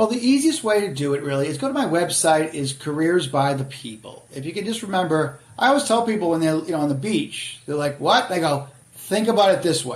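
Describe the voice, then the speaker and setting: A man with an American accent speaks high and fast, at a fairly quick pace with hardly any pauses. His pitch swings very widely over noticeable background noise. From Boston area, Massachusetts. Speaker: author and career adviser. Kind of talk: casual podcast interview.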